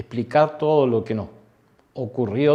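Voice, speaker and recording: Man's voice with a dark, mellow tone and ordinary pitch variation. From Argentina, Santa Fe city. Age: 60s. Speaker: war veteran. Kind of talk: testimony. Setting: interview. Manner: halting.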